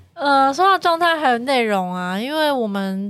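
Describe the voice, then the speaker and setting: A woman with a plain, everyday voice at a moderate pace, in a very clean recording with a silent background. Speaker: chief editor and show planner. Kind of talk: casual chat. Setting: studio.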